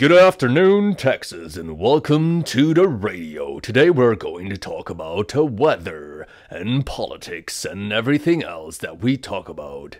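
Doing a put-on character voice, a man at medium pitch moves at a moderate pace with hardly any pauses, big swings in loudness and very wide pitch swings. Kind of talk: radio broadcast.

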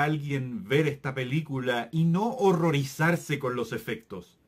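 Over a quiet background, a man with a fairly high pitch sounds furious and somewhat breathy, speaking at a fairly slow pace with lively intonation. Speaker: film review youtuber. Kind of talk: angry rant, scathing movie review. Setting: home-recorded video, solo to camera. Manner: furious, sarcastic and exasperated, with bursts of disbelief. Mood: critical, exasperated. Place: home room.

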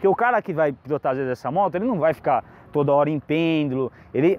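Dry, echo-free audio of a man speaking at a fairly quick pace. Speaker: motorcycle reviewer. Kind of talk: product review explanation. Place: street.

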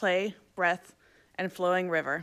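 The voice belongs to a woman. Her surroundings are quiet. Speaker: event moderator. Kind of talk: formal introduction and Q&A moderation. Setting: stage with audience, live-streamed. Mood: warm, welcoming. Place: hall. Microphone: podium.

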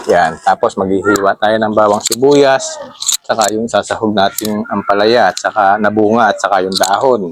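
Here is a man with an unremarkable speaking voice, fairly low in pitch. He keeps a moderate pace and fairly even intonation. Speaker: cooking vlogger. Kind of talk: cooking tutorial. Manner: casual, chatty.

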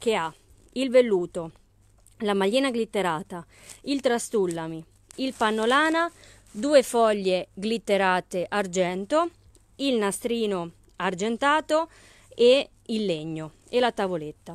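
Against a quiet background, a woman talks fairly slowly with long, frequent pauses in a fairly high, upbeat voice. Her pitch swings very widely, and the sound is dry with no echo. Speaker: craft shop owner selling haberdashery products online. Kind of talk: live-stream sales pitch; street-seller-style pitchman patter, rattling off kit prices and discounts. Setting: live video stream. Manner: upbeat, brisk, persuasive, pushing the bargain with price comparisons; chatty and friendly, greeting viewers by name. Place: shop. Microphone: phone near.

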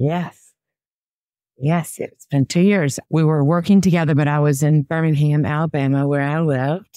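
Speaking at a fairly slow pace with ordinary pitch variation, a woman with a Southern US accent has a very deep, low pitch, heard in a dry sound with no echo against a quiet background. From US South. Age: 60s. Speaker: personal stylist. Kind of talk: interview. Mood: upbeat, animated. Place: home room. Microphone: webcam.

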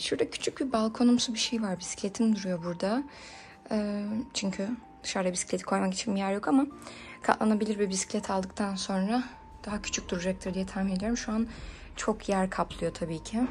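A woman's fairly quick speech with fairly even intonation, faint music in the background. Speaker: vlogger. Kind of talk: casual vlog chat, home tour. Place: home room. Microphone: phone near.

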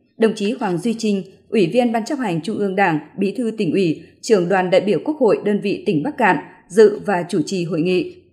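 A woman's dark, mellow, somewhat breathy voice at a fairly quick pace with lively intonation, over a quiet background. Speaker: radio news announcer. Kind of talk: news bulletin reading.

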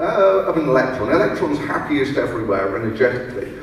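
The recording carries strong room echo and light background noise. The speaker moves at a moderate pace with lively intonation. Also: man. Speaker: presenter. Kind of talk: lecture. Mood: playful, humorous. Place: hall.

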